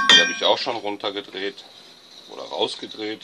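The man's speech is fairly slow, and background noise is noticeable behind it. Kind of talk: tutorial. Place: garage. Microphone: phone near.

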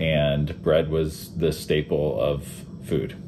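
A man's very deep, low voice with music in the background. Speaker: pastor. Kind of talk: sermon introduction. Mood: calm, contemplative. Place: home room. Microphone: webcam.

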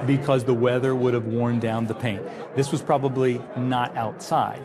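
Fairly even intonation at a moderate pace, with music in the background. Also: man. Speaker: antiques appraiser. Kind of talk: appraisal interview explanation. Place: studio. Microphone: lapel.

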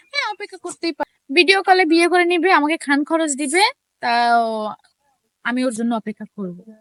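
Extremely high-pitched, a woman's voice swings very widely in pitch and greatly in loudness, with a dry, close sound and no echo. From Bangladesh, Sandwip island (Chittagong). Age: 20s. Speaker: woman seeking a marriage partner. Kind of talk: interview. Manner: halting.

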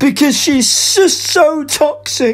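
A put-on character voice pitched high moves at a fairly slow pace over light background noise. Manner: indignant, complaining.

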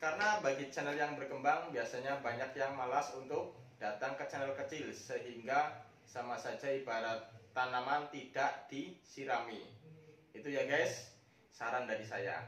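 A man at a moderate pace, with audible echo in the room. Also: ordinary pitch variation. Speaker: YouTube channel host. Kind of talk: casual vlog chat. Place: office. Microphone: camera far.

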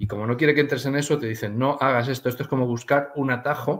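At a fairly quick pace, a man with a medium pitch and fairly even intonation speaks in an unremarkable speaking voice. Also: quiet background. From Spain. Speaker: aromatherapy author; interview guest. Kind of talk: interview. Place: home room.

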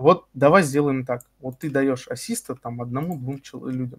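A man speaks at a fairly slow pace with a fairly high pitch. His voice is somewhat breathy. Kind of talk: heated debate. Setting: voice chat during game raid. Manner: gets emotional and stretches words.

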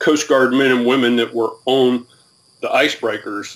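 This is a man's voice. He speaks with a Southern US accent. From US South, Alabama. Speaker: retired military, training professional. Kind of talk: interview. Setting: video call. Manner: halting. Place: home room.

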